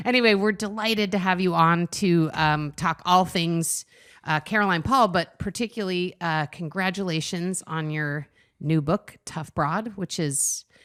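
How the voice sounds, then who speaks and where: A woman speaks at a fairly slow pace in an ordinary speaking voice, her fairly low pitch moving with ordinary variation, on a very clean recording with a silent background and a dry, close sound with no echo. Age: 50s. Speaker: podcast co-host. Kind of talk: interview.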